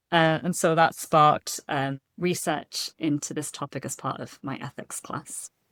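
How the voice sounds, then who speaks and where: A woman with a British accent speaks at a very deep, low pitch and a fairly slow pace, with hardly any pauses, fairly even intonation, and big swings in loudness, the sound dry and close with no echo on a very clean recording with a silent background. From United Kingdom. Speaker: seminary student. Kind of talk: casual interview.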